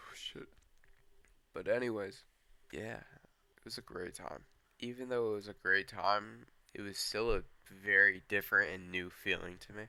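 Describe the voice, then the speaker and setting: Shaky and bright, sharp in tone, a man with a fairly low pitch speaks at a moderate pace with fairly even intonation, big swings in loudness and long, frequent pauses. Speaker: storyteller. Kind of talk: casual storytelling. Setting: outdoors on a porch. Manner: shaky voice.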